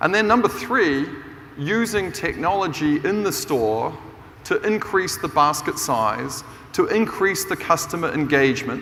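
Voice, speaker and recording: A man with a New Zealand accent and lively intonation at a moderate pace, amid noticeable background noise and audible room echo. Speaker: business professor and keynote speaker. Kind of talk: conference keynote talk. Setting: stage with audience. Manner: animated.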